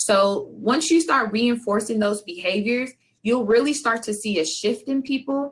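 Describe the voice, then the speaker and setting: A woman with a plain, everyday voice talks at a moderate pace, her fairly high pitch varying in an ordinary way. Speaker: conference presenter. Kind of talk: presentation. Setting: video call.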